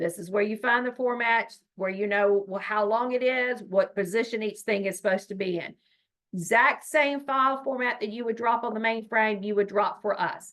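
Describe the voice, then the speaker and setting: A woman's fairly high-pitched voice, an ordinary speaking voice, at a moderate pace with ordinary pitch variation. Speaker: state education data trainer. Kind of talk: training webinar presentation.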